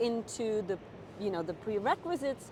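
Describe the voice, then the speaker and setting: A woman with a Czech accent, amid noticeable background noise. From Czech Republic. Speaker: nurse practitioner. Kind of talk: interview.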